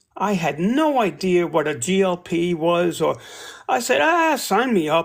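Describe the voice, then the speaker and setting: A man's high-pitched voice comes through in a very clean recording with a silent background. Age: 60s. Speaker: kidney disease patient sharing weight-loss journey. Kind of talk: casual interview chat.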